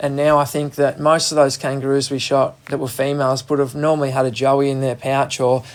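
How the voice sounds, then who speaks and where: A man speaks with a strong Australian accent. His voice sits fairly high. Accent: broad Australian. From Australia, Gippsland region of Victoria. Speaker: wildlife carer. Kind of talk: radio interview. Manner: casual, colloquial.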